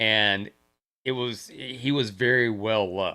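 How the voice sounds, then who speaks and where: A man speaks with a fairly low pitch and a bright, sharp tone. His intonation stays fairly even in a very clean recording with a silent background. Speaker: livestreamer. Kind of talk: casual livestream monologue. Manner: slow; halting.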